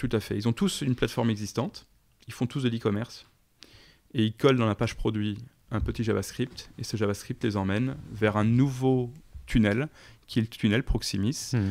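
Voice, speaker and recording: Over a silent background in a very clean recording, a man at a medium pitch talks at a moderate pace with fairly even intonation and long, frequent pauses. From eastern France, countryside. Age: 40s. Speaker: startup founder and CEO. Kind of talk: interview.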